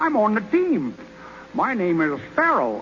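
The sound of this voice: A man's put-on character voice, high-pitched with a fairly bright tone, very wide pitch swings and a fairly slow pace, over faint background noise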